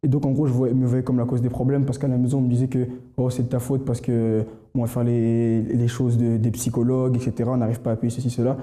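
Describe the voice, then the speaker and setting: The delivery is very fast with monotone, flat intonation. The tone is dark and mellow. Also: man. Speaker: church member giving testimony. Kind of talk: testimony. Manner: halting, many fillers and repetitions.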